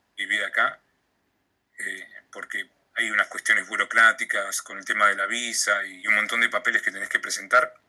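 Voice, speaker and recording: At a moderate pace, a man speaks with a Rioplatense accent. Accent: Argentine Rioplatense Spanish. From Argentina, Patagonia (Comodoro Rivadavia). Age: 20s. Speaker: graphic designer and radio announcer. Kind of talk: casual interview.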